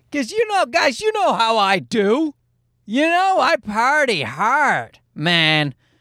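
Extremely high in pitch, a man speaks very slowly in a raised, projected voice, his pitch swinging very widely. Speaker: podcast host. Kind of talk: casual, profane, joking. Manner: rambling storyteller.

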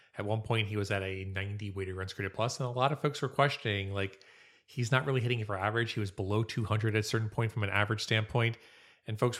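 A man's fairly low voice at a very fast pace, in a very clean recording with a silent background. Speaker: podcast host. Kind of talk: comedic banter, awards show.

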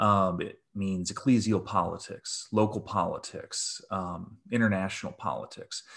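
Speaking with an American accent, a man keeps a fairly slow pace. He talks with hardly any pauses. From US Midwest, rural Michigan. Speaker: theologian. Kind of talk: interview conversation. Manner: hesitant, many fillers.

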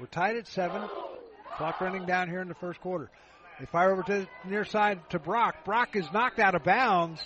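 Noticeable background noise under a man's moderate-paced speech, high in pitch with ordinary pitch variation. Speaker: college football play-by-play announcer. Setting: stadium broadcast booth. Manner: brisk, rhythmic play calling, ramps up on big plays; casual, conversational, with frequent uh fillers and self-corrections.

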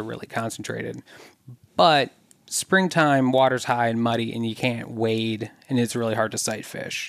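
A man talks at a fairly quick pace in a medium pitch with fairly even intonation. He has a plain, everyday voice. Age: adult. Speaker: environmental scientist and angler. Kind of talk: casual interview.

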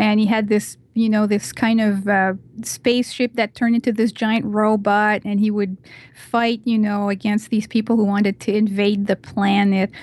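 At a moderate pace, a woman with a fairly high pitch speaks in a flat monotone, somewhat breathy and at very even loudness. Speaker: podcast guest, blogger. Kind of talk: casual chat.

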